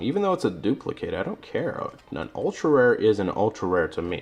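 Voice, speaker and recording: Against noticeable background noise, a man is talking. His pace is fairly quick. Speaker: hobbyist card opener vlogger. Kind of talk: solo card unboxing monologue. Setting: alone talking to a camera.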